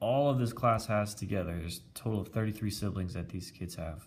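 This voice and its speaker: A man's somewhat breathy voice at a moderate pace, with ordinary pitch variation and audible room echo. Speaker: teacher. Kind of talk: math lesson tutorial. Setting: recorded with iPad video.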